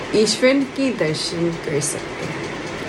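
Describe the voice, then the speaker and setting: A woman with a London accent talks at a medium pitch with lively intonation. Noticeable background noise and audible room echo are present. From London, England. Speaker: monk. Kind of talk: spiritual talk. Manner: hesitant, with filler words.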